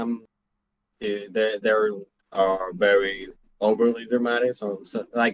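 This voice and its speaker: In a Spanish accent, a man speaks at a fairly slow pace with ordinary pitch variation, the sound dry and close with no echo. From Venezuela. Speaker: student screenwriter. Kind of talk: class introduction. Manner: halting, repeats words.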